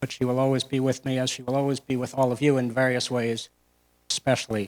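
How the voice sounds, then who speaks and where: A man with an American accent, medium pitch, monotone, flat intonation and a fairly quick pace. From US Northeast, Maine island. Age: 70s. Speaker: memorial speaker, family friend. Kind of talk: eulogy. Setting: meeting house memorial with audience.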